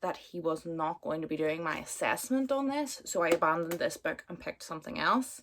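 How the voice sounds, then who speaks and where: With a Northern Irish accent, a woman talks at a moderate pace in a fairly low voice that swings very widely in pitch. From Northern Ireland, Belfast. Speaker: booktuber. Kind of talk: casual chat. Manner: chatty, filler-heavy.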